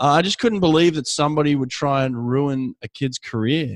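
This man has a medium-pitched, normal speaking voice with ordinary pitch variation. He talks at a moderate pace, and the sound is dry and close with no echo. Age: 40s. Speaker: podcast host, swim coach and former swimmer. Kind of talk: casual interview.

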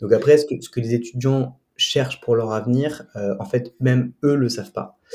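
The voice is somewhat breathy, holding a fairly even intonation. It moves at a moderate pace. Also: man, medium pitch for a man. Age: 20s. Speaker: student and prep school founder. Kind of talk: interview. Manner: hesitant, many fillers and repetitions.

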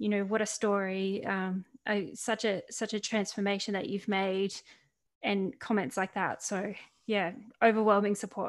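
A woman speaks in a flat, monotone intonation with an Australian accent, recorded very cleanly against a silent background. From Australia (Central Coast, New South Wales). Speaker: author and mental health speaker. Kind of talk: podcast interview.

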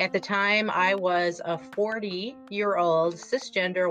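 Music plays behind a woman speaking with a Wisconsin accent. Her pitch sits at medium. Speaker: podcast guest, author.

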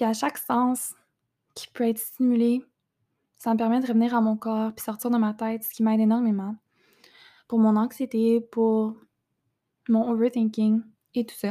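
The recording is very clean, with a silent background. A dark, mellow voice speaks at a fairly slow pace in a monotone, flat intonation, with long, frequent pauses. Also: woman, fairly high pitch for a woman. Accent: Quebec. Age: 20s. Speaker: podcast host and entrepreneur. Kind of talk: casual monologue.

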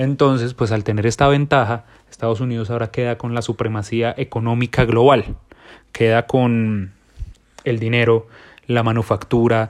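In a monotone, flat delivery, a man speaks at a moderate pace. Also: medium pitch for a man. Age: 20s. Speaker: podcast host. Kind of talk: solo monologue.

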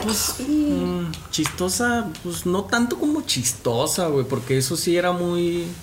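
A man with a high pitch talks at a very slow pace, his pitch swinging very widely while his loudness stays very even and he hardly pauses. Audible room echo and noticeable background noise surround him. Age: young. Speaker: youth podcast host. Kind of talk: casual chat.

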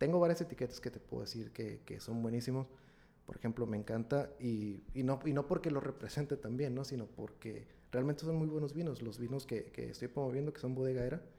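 This man has a normal speaking voice, set at a medium pitch with ordinary pitch variation. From Mexico, Ensenada, Baja California. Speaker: coffee and wine enthusiast, systems engineer. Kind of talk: casual interview.

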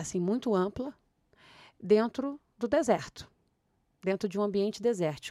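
A woman at a moderate pace, on a very clean recording with a silent background. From Rio de Janeiro, Brazil. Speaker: playwright. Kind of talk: interview.

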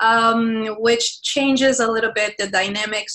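In a Portuguese accent, a woman talks at a fairly slow pace. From Brazil. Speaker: university professor and researcher. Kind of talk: interview.

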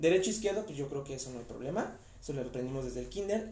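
A man's voice carries audible room echo. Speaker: anatomy lecturer. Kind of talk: lecture. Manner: stammers when talking long.

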